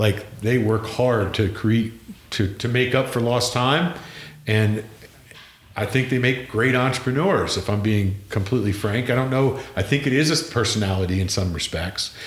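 A man with an American accent, medium in pitch and somewhat breathy, at a moderate pace with ordinary pitch variation and very even loudness, in a room with audible echo. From Pennsylvania. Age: 50s. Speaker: podcast host. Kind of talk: casual chat.

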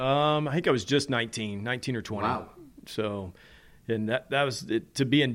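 An American man talks at a moderate pace with ordinary pitch variation in an ordinary speaking voice, on a very clean recording with a silent background. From US South, Nashville. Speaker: racing driver. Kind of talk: interview. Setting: at home.

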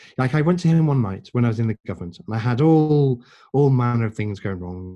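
Against a quiet background, a man with an English accent speaks in a dark, mellow tone with ordinary pitch variation. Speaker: podcast guest.

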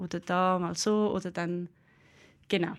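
Here is a plain, everyday voice with fairly even intonation. The recording is very clean, with a silent background. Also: woman. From Switzerland, Aargau (Brugg). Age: 20s. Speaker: bassoonist and music lecturer. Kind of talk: live talk show interview. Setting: stage with live audience.

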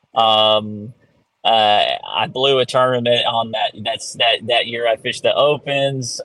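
A man with a plain, everyday voice, medium in pitch, with ordinary pitch variation. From Florida. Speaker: professional bass angler. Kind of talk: interview.

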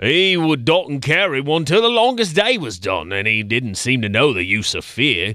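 An animated, theatrical voice with vocal fry and very wide pitch swings moves at a moderate pace with hardly any pauses, on a very clean recording with a silent background. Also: man, fairly high pitch for a man. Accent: British. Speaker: producer. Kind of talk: poem reading in mock British accent. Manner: animated, theatrical, comic; dramatic, rhythmic, gruff barked refrain.

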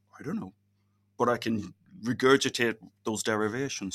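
A man talks with ordinary pitch variation. His tone is bright and sharp. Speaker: physicist and university lecturer. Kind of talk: interview.

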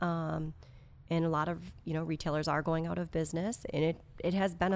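Delivered fairly quickly, the speech sits on a very clean recording with a silent background. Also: woman. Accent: American. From Wisconsin, outside Madison. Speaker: music store executive. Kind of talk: casual interview.

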